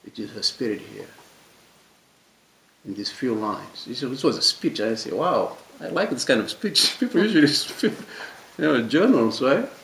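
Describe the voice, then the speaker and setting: A man speaks with a non-native accent at a moderate pace. He takes long, frequent pauses, and his loudness swings widely. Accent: noticeable foreign. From Mauritania, West Africa. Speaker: French teacher, discussion speaker. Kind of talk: panel discussion talk. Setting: public library talk with audience. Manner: halting, many repetitions and fillers; passionate.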